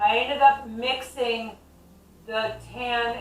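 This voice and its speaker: A woman speaks at a fairly high pitch. Noticeable background noise and audible room echo fill the recording. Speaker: DIY home renovation vlogger. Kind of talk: casual tutorial vlog. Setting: at home in her kitchen.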